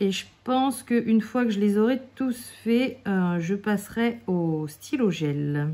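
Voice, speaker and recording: At a very slow pace yet with hardly any pauses, a woman talks in a relaxed tone at a fairly high pitch. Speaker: craft YouTuber. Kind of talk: casual tutorial while colouring. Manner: relaxed, hesitant with fillers.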